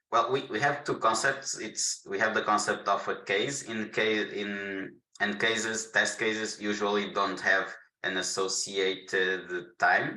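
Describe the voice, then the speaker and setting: Against audible room echo, a man speaks at a fairly slow pace. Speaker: solution architect giving product demo. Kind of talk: webinar tutorial with Q&A. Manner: halting, repeats words.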